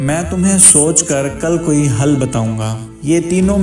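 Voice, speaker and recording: A man with a fairly high voice and ordinary pitch variation talks while music plays behind him. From Pakistan. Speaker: voice-over artist. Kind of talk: moral story narration.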